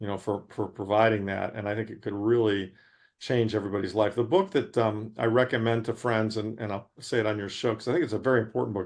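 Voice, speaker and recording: Over a quiet background, a man with an American accent talks at a very fast pace in a fairly low pitch. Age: 60s. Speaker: investment manager. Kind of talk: interview. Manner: animated.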